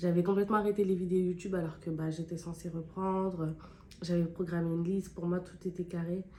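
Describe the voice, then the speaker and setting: At a fairly quick pace, a woman with a fairly low voice speaks in a monotone, flat delivery. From France, Clermont-Ferrand area, of Guinean heritage. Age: 20s. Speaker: beauty YouTuber. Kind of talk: casual chat while doing makeup. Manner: casual, hesitant with many fillers.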